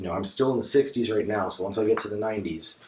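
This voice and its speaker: Fairly low in pitch and somewhat breathy, a man speaks. His pace is fairly quick and his intonation fairly even. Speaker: comic book collector. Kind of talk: casual talk to camera. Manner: hesitant, many fillers.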